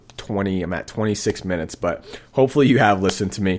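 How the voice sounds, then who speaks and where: In an American accent, a man talks at a very fast pace in an upbeat, enthusiastic tone. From US Northeast, Boston. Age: 20s. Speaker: jazz piano teacher, podcast host. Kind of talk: casual solo podcast monologue.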